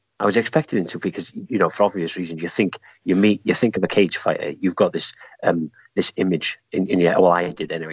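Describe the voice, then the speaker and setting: A man with a Welsh accent talks at a fairly quick pace in a very deep, low pitch with ordinary pitch variation. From Wales. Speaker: guest runner. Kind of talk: casual interview chat. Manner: joking, laughs a lot.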